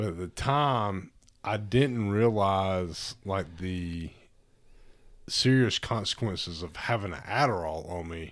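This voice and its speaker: In a Southern US accent, the speaker goes at a very slow pace with ordinary pitch variation and big swings in loudness, on a very clean recording with a silent background. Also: man, fairly low pitch for a man. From Alabama, Tuscaloosa. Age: 30s. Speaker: father. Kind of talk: casual chat.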